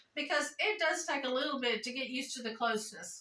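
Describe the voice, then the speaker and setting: Her voice is raised and projected, a woman's at high pitch with ordinary pitch variation and a bright, sharp tone. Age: 60s. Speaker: jiu-jitsu practitioner. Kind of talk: interview answer.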